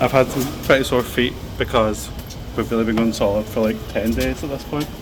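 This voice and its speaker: Over noticeable background noise, a man in a Scottish accent talks fairly quickly at a medium pitch with fairly even intonation. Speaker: travel vlogger. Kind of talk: casual vlog chat. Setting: outdoors at theme park resort.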